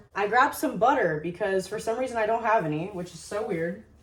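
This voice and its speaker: Over noticeable background noise and audible room echo, a woman with an American accent talks at a fairly quick pace with ordinary pitch variation. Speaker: lifestyle vlogger. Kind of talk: casual vlog. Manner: fast; filler-heavy, casual.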